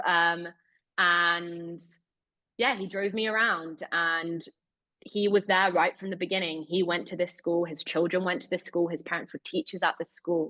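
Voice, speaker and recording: At a moderate pace, a woman speaks with a British accent. Her pitch is fairly low and her intonation fairly even. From Britain. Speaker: investigative journalist. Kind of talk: webinar interview.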